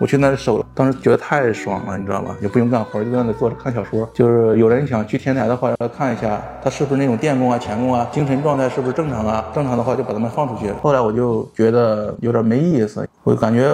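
A man talks at a very fast pace with hardly any pauses. His pitch is medium, his intonation fairly even, and noticeable background noise is present. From northern China, Hebei (Baoding). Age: 30s. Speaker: former factory worker, day laborer. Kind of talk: interview.

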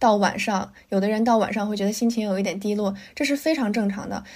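Using an ordinary speaking voice, this woman's fairly high-pitched delivery keeps a fairly even intonation. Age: 20s. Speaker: podcast co-host. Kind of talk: casual chat.

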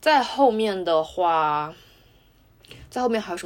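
A plain, everyday voice from a woman at medium pitch with lively intonation, on a very clean recording with a silent background. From Wuhan, China. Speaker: podcast host. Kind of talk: casual chat.

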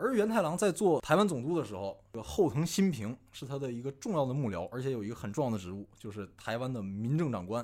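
A man's medium-pitched voice at a very fast pace, with very wide pitch swings and hardly any pauses. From Northeast China. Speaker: amateur history enthusiast. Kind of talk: casual chat.

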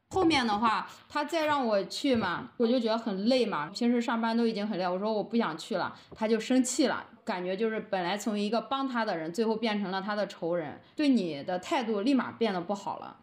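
A woman talks at a fairly quick pace with hardly any pauses, her fairly high voice full of lively intonation, with audible room echo. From Henan, rural China. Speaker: rural primary school teacher. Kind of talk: casual interview conversation.

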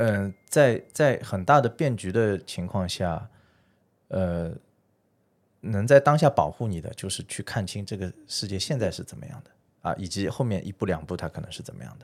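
Heard on a very clean recording against a silent background, a normal speaking voice moves at a moderate pace with lively intonation and big swings in loudness. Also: man, fairly low pitch for a man. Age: 30s. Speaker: private fund manager. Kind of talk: casual chat.

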